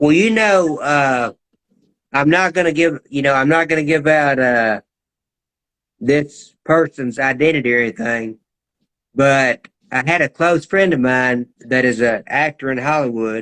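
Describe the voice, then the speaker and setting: A man's fairly high voice at a fairly slow pace, with long, frequent pauses, very even loudness, ordinary pitch variation and a dry, close sound with no echo. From US South, Georgia. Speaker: talk show host. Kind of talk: casual interview chat. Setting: live-streamed online interview.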